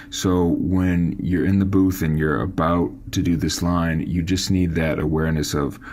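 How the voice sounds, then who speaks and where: A man with a very deep, low pitch and fairly even intonation, at a moderate pace, with audible room echo. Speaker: songwriting coach. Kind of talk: tutorial. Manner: casual.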